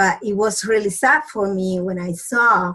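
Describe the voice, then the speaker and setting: Very slowly, a woman with a Spanish accent speaks at a medium pitch in a somewhat breathy voice with ordinary pitch variation. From Dominican Republic. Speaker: doctor. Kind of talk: presentation. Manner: halting.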